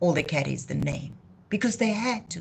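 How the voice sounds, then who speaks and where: A woman talks with a South African accent. Her voice is somewhat breathy. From South Africa, Cape Town. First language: Afrikaans. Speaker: YouTube channel host. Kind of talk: live stream monologue. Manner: impassioned.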